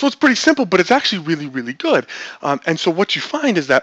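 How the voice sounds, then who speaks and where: A man's very fast speech with lively intonation and a bright, sharp tone. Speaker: webinar presenter on online marketing. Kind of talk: webinar presentation. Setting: recorded webinar. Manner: repetitive, filler-heavy.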